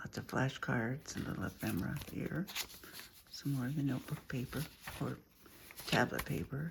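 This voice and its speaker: Lively intonation from a woman with a very deep, low pitch, long and frequent pauses, noticeable background noise around her. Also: moderate pace. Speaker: crafter showing handmade junk journals. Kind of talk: show-and-tell craft video. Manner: casual, with fillers and repeats.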